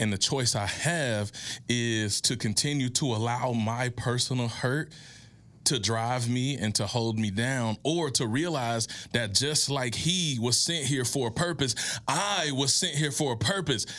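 An unremarkable speaking voice: a man with an American accent, medium pitch, ordinary pitch variation, very even loudness and a fairly slow pace. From US South, Mississippi. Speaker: motivational speaker and author. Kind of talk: interview, motivational storytelling. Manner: oratorical, inspirational.

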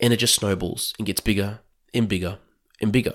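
A man with an Australian accent, fairly low in pitch, monotone and flat, at a fairly quick pace, in a very clean recording with a silent background. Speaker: podcast host and financial planner. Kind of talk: monologue podcast talk. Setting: recorded at night.

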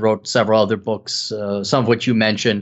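This man talks at a fairly quick pace with an Upper Midwest accent. His pitch sits in the medium range. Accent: Upper Midwest American. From Wisconsin. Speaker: economist and author. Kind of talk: interview.

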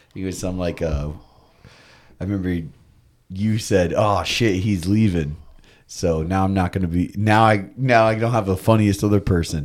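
A man with an American accent talks at a moderate pace with long, frequent pauses, his very deep, low pitch showing ordinary variation. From Florida, US. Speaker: skateboarder and radio host. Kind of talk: casual chat. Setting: studio.

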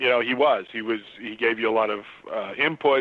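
A man's intonation stays fairly even as he talks at a moderate speed. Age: 50s. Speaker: comic book artist. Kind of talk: interview. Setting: Skype call.

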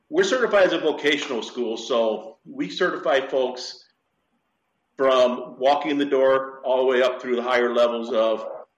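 At a moderate pace, a man with an American accent speaks at medium pitch with ordinary pitch variation, and audible room echo surrounds him. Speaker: dive shop owner and instructor. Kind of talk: interview. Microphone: poor connection, messy audio.

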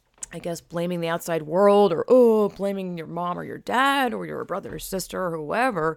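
In a plain, everyday voice, a woman with an American accent speaks at a moderate pace, her fairly low pitch showing ordinary variation on a very clean recording with a silent background. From US South. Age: 30s. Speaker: podcast host. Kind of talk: casual chat.

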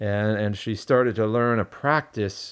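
A normal speaking voice moves at a fairly slow pace in a very clean recording with a silent background. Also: man. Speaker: podcast host and pastor-type teacher. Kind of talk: casual chat.

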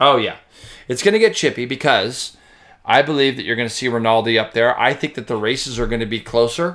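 On a very clean recording with a silent background, a man with a normal speaking voice uses ordinary pitch variation. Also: medium pitch for a man. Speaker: motorcycle racing commentator. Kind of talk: casual chat.

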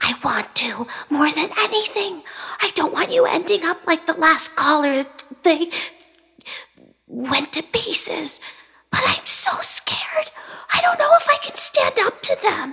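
Speaking at a fairly slow pace with long, frequent pauses, a woman uses an extremely high pitch and very wide pitch swings. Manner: kind, then scared and tearful.

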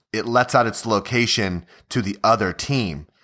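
A man with an unremarkable speaking voice talks at medium pitch with ordinary pitch variation. The recording is very clean, with a silent background. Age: 30s. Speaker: gaming podcast host. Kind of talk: casual chat.

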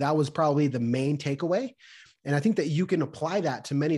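A man talks at a fairly quick pace in a plain, everyday voice. His pitch variation is ordinary and the background is quiet. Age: 30s. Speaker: realtor and amateur boxer. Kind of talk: casual interview chat.

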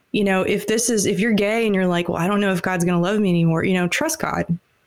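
With an American accent, a woman talks in a normal speaking voice at medium pitch, her pitch varying in an ordinary way. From US South, Atlanta and Alabama. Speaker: singer-songwriter. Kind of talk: casual interview chat.

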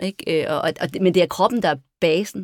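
A woman's medium-pitched voice, fairly slow with ordinary pitch variation, in a very clean recording with a silent background and a dry, close sound with no echo. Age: 50s. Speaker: dancer and performer. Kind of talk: casual chat. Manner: halting.

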